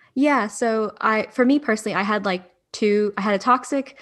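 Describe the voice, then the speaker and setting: At a moderate pace and with ordinary pitch variation, a woman talks in a plain, everyday voice on a very clean recording with a silent background. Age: 20s. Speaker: podcast co-host, adoptee. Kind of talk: casual chat.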